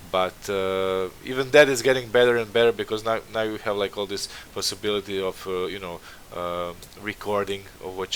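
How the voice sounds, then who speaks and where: A man speaks with a non-native accent at a moderate pace. His pitch is fairly low and his intonation fairly even. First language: not English. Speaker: concept art stream host. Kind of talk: casual interview livestream. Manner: halting, many fillers.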